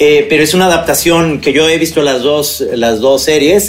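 A man speaks with a fairly high pitch. Noticeable background noise runs underneath. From Guadalajara, Mexico. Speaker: film podcast co-host. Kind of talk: casual chat about films and series.

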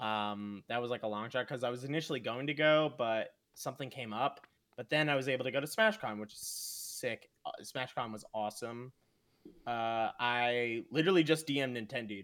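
Medium male pitch, moderately paced, with ordinary pitch variation. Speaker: esports commentator. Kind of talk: casual chat. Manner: animated, loud hype.

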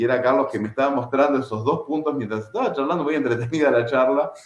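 This man's voice shows ordinary pitch variation. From Buenos Aires suburbs, Argentina (Merlo), Uruguayan parents. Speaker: martial arts instructor. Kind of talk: casual interview.

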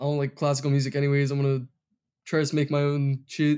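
In an American accent, a man speaks with a dark, mellow tone and fairly high pitch. His intonation is monotone and flat. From Massachusetts, US. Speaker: music producer. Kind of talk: casual interview chat.

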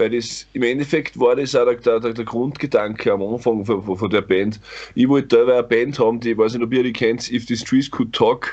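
A man talks in a plain, everyday voice, moderate in pace and medium in pitch, with fairly even intonation. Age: 30s. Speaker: metal band vocalist. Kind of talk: casual chat.

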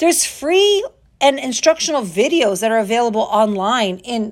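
The voice moves through very wide pitch swings in an animated, upbeat tone. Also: woman. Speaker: fitness coach podcast host. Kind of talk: pep talk. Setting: home recording with window open. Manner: animated, upbeat, motivational; direct, chatty, self-questioning.

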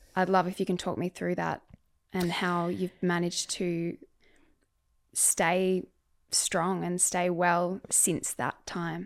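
In a very clean recording with a silent background, a woman with an Australian accent talks very slowly at a fairly low pitch, using monotone, flat intonation and long, frequent pauses. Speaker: podcast host. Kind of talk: interview.

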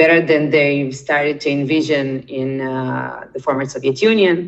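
At a fairly slow pace, a woman with a Russian accent speaks in a very deep, low pitch. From Israel, born in Ukraine. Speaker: documentary participant, immigrant. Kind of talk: interview. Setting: remote call from Israel.

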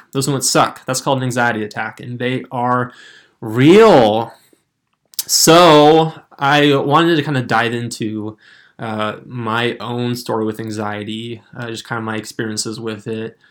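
A man's delivery is fairly unhurried, and his pitch moves in an ordinary way. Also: medium pitch for a man. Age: 20s. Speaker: podcast host. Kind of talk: casual solo talk.

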